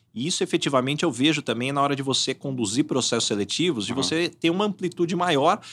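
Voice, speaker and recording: Very fast and fairly high-pitched, a man talks with lively intonation. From Brazil, São Paulo state interior. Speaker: headhunter. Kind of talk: casual interview chat.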